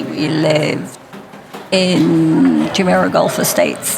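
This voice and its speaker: A woman with an English accent speaks over music in the background, with audible room echo. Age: 60s. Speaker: interview guest. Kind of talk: interview.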